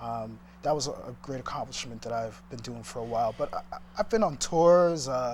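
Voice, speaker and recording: A man with an American accent at a moderate pace, hardly any pauses. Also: medium pitch for a man, ordinary pitch variation, big swings in loudness. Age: 30s. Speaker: entrepreneur. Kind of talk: interview. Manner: halting.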